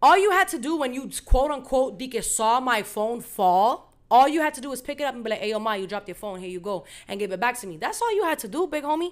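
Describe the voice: Speaking fast, a woman uses a fairly high pitch. Her intonation is lively. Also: very clean recording, silent background.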